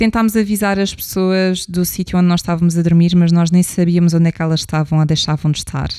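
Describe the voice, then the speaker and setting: A woman's dark, mellow tone, fairly low in pitch. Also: dry, close sound with no echo, very clean recording, silent background. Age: 30s. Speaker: podcast host, psychologist and travel blogger. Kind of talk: solo travel storytelling podcast.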